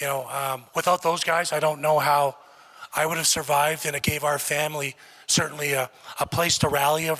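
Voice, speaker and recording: A man's fairly high voice, fairly quick and monotone, with flat intonation. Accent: Canadian. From Canada. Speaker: former college football player, hall of fame inductee. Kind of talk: acceptance speech. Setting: awards ceremony with audience.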